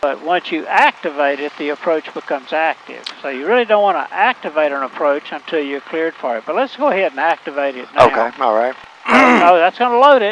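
Fairly quick speech from a man with very wide pitch swings, a dry sound with no echo and light background noise. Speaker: flight instructor. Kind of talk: tutorial instruction. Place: plane. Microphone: headset.

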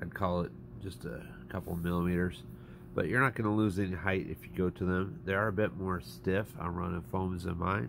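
Vocal fry runs through a man's very deep, low voice as he speaks at a moderate pace with lively intonation. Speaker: RC hobbyist reviewer. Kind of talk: casual product review to camera.

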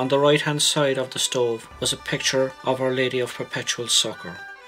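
A man with an Irish accent, medium-pitched and fairly even in intonation, at a moderate pace with music in the background. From Cork, Ireland. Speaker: photographer. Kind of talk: documentary narration.

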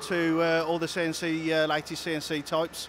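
A man speaks in a high pitch. The sound is dry with no echo, though there is noticeable background noise. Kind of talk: interview answer. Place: factory. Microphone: handheld.

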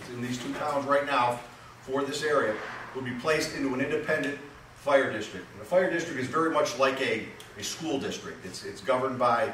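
There is noticeable background noise and audible room echo. A man's voice swings widely in loudness. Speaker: public presenter. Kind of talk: public meeting presentation. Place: garage.

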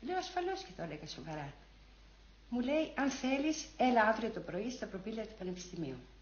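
Amid audible room echo, a woman with a fairly high pitch speaks at a moderate pace, with very wide pitch swings and big swings in loudness. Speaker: former student demonstrator giving testimony. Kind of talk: archival recollection, testimony. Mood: moved, reminiscing. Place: home room.

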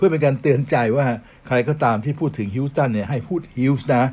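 This man's medium-pitched voice is somewhat breathy and has lively intonation. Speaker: sports talk show host. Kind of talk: sports news talk show. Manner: polite formal address.

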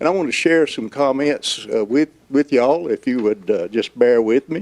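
In a dry, close recording with no echo, a man with a fairly high pitch talks at a moderate pace with lively intonation. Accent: North Carolina. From North Carolina, Johnston County. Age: 70s. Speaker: local resident, public commenter. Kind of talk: public comment. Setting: public meeting hall, seated.

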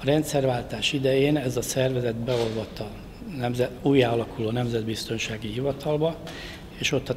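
A man talks at a moderate pace with fairly even intonation. Noticeable background noise runs behind him. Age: 60s. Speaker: government official. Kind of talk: press conference statement. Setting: press conference at ministry. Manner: halting with fillers. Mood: serious, defensive explanation. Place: hall. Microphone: podium.

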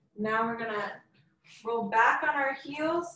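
A woman with a high pitch speaks at a fairly slow pace. Audible room echo surrounds her voice. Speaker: fitness instructor. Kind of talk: workout class instruction. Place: home room. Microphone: webcam.

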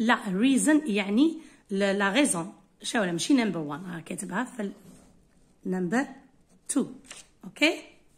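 A somewhat breathy woman speaks at a fairly slow pace, her pitch swinging very widely. She leaves long, frequent pauses. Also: fairly high pitch for a woman. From Algeria. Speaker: English teacher. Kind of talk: tutorial. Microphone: phone near.

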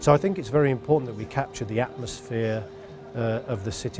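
A man talks fairly quickly. Clear music sounds behind him. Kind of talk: interview answer. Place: studio. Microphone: lapel.

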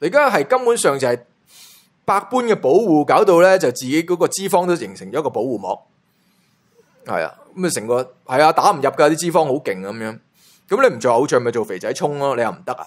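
Animated and full of very wide pitch swings, a man with vocal fry speaks at a fairly high pitch and a fairly quick pace. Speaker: entertainment gossip YouTuber. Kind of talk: casual commentary monologue.

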